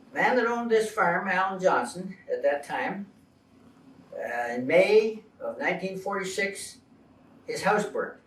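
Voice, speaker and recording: Noticeable background noise sits behind a man with a high voice. He speaks at a fairly slow pace, with long, frequent pauses. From Ontario, Canada (Toronto Township, now Mississauga). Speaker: retired farmer. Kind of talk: interview, personal recollection. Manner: hesitant, many fillers.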